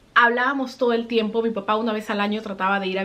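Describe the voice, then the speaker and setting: A woman talks at a very fast pace with a fairly high pitch and fairly even intonation. Noticeable background noise can be heard. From Peru. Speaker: vlogger. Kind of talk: personal storytelling vlog.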